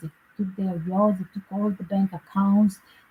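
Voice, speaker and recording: A woman with a non-native accent talks at a moderate pace in a medium pitch, her intonation monotone and flat, the sound dry and close with no echo. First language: not English. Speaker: psychic tarot reader and commentator. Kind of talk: casual livestream commentary. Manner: halting, with fillers.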